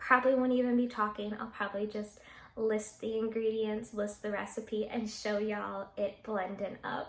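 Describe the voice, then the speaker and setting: At a moderate pace, the voice holds a monotone, flat intonation amid noticeable background noise. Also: woman, fairly high pitch for a woman. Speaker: fitness vlogger. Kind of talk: casual vlog talk to camera.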